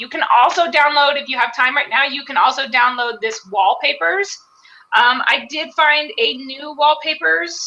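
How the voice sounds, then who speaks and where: A woman speaks at a high pitch and a moderate pace, her voice raised and projected with lively intonation. Her loudness swings widely over noticeable background noise. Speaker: live webinar co-host. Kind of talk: tutorial.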